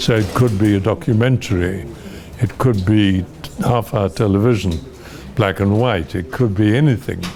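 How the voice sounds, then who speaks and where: Over noticeable background noise, a man with a fairly low pitch talks at a moderate pace, his loudness very even and his pitch variation ordinary. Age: 80s+. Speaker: actor. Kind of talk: interview answer.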